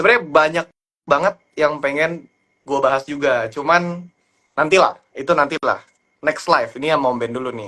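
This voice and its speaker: A man's fairly high, bright, sharp voice at a moderate pace, with ordinary pitch variation. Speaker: stock trader. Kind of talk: live stream stock chat. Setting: live stream.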